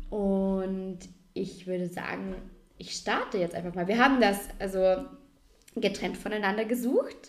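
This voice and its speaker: A woman with a medium pitch speaks at a fairly slow pace, leaving long, frequent pauses. Her intonation is fairly even, and the room echo is audible. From Austria, Vorarlberg. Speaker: podcast co-host. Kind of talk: casual chat.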